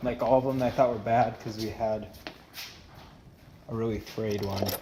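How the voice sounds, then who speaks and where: With audible room echo and noticeable background noise, a man talks at a medium pitch in a monotone, flat intonation. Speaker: car vlogger. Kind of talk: casual vlog talk to camera. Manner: rambling, hesitant with fillers.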